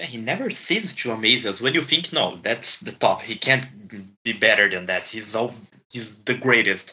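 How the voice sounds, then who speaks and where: A man with a Portuguese accent, lively intonation and a moderate pace. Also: medium pitch for a man. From Brazil. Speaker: hockey podcast co-host. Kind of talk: casual sports chat. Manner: halting.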